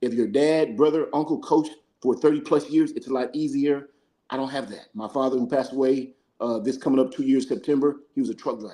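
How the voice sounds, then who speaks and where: Talking at a very fast pace, a man uses a fairly high pitch and fairly even intonation with a dark, mellow tone. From New Mexico. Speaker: football coach. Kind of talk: casual chat. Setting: live stream.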